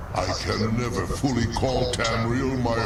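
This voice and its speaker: Over loud background noise and with slight echo, a man talks very slowly in a put-on character voice. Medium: machinima. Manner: slow, sorrowful.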